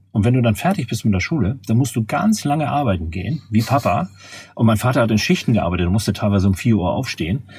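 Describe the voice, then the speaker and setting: In a very clean recording with a silent background, a somewhat breathy man of medium pitch speaks at a very fast pace with lively intonation. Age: 50s. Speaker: management consultant. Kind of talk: interview. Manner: halting, frequent word repetitions.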